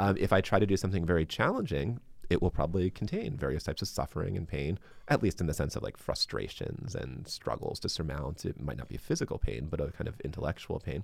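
With an American accent and vocal fry, a man talks at a very fast pace in a very deep, low pitch, his intonation lively. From US, Baltimore. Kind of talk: interview.

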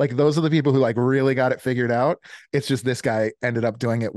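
Someone with an American accent speaks in a normal speaking voice with ordinary pitch variation. The sound is dry and close with no echo, over a quiet background. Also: man. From Chicago. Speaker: business coach and army veteran. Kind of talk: casual interview.

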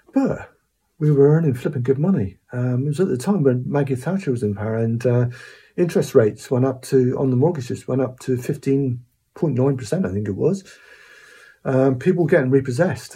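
A man with a Cornish accent talks fairly quickly in a dark, mellow, somewhat breathy voice of medium pitch with ordinary pitch variation. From Cornwall. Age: 60s. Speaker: musician. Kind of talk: casual storytelling monologue. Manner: hesitant, many fillers.

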